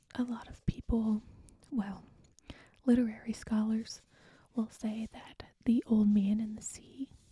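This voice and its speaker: Soft-spoken whispering at a fairly slow pace, broken by long, frequent pauses. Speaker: teacher. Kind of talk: ASMR rambling. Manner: whispered, soft-spoken.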